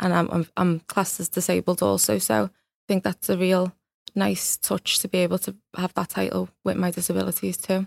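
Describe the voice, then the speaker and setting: A woman with a Liverpool accent talks at a moderate pace in a very clean recording with a silent background and a dry, close sound with no echo. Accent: Scouse (Liverpool). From Liverpool, England. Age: 20s. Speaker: beauty pageant winner and mental health advocate. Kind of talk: interview.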